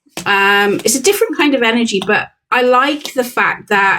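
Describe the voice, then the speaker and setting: A woman speaks with ordinary pitch variation. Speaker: tarot and chronic illness vlogger. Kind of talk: casual vlog monologue. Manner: hesitant, many fillers.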